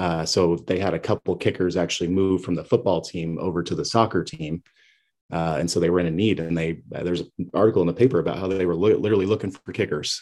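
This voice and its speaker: A man with an American accent speaks very fast, his pitch very deep and low and his intonation fairly even. The recording is very clean with a silent background. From Montana (Kalispell). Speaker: kicking and punting coach. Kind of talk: interview. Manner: halting, many fillers.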